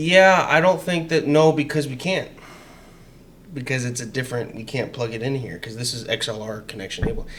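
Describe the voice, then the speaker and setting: With lively intonation and big swings in loudness, a man talks at a fairly quick pace amid audible room echo. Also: medium pitch for a man. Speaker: political podcast host. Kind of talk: casual chat. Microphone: XLR mic, echo issues.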